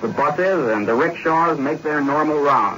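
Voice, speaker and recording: Noticeable background noise is present throughout. Over it, a man talks at a moderate pace. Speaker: London radio news correspondent. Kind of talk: 1940s radio news correspondent report. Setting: shortwave radio broadcast from London.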